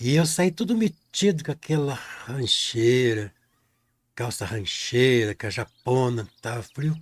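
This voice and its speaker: Speaking at a very slow pace, a man uses lively intonation at medium pitch. His voice is somewhat breathy. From Brazil, rural countryside. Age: 60s. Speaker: painting teacher. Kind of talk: live painting tutorial with storytelling. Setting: live stream. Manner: casual, folksy.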